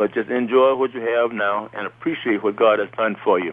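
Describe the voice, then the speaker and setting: A man talks with a Southern US accent at a moderate pace. His pitch is medium and varies in an ordinary way. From US South, Alabama. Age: 70s. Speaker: retiree, father of host. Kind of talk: casual chat. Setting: phone call. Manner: animated.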